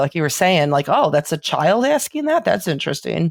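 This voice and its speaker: A woman talks at a fairly quick pace in a strong Chicago accent. Her intonation is lively. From Chicago, South Side. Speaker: paranormal investigator and author. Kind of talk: podcast interview. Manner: casual, filler-heavy.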